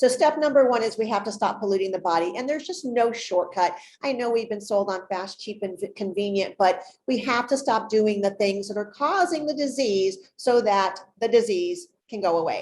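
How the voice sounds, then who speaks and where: A woman with an unremarkable speaking voice talks at a moderate pace. Her pitch is fairly high, and her intonation is lively. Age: 60s. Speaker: holistic pet health expert. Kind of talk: interview presentation.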